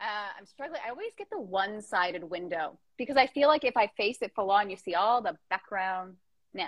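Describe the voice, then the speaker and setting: With an ordinary speaking voice, a woman at medium pitch talks at a moderate pace, using lively intonation and big swings in loudness. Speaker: Instagram live podcast host. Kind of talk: casual chat interview. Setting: Instagram live video chat from childhood home.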